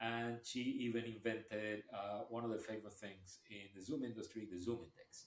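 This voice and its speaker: An unremarkable speaking voice from a man, medium pitch, fairly even intonation, moderate pace and hardly any pauses. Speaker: podcast host. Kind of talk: podcast interview question.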